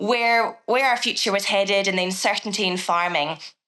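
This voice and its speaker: Talking at a fairly quick pace with a Scottish accent, the woman has a medium pitch, ordinary pitch variation and a bright, sharp tone. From Scotland, southwest coast. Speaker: agricultural consultant and former journalist. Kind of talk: podcast interview.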